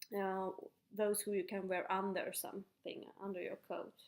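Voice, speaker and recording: A woman with a Finland-Swedish accent speaks at a fairly slow pace with medium pitch. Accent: Finnish Swedish-speaking accent in English. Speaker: knitting podcaster. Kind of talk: casual show-and-tell. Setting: at home kitchen table. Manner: halting with fillers.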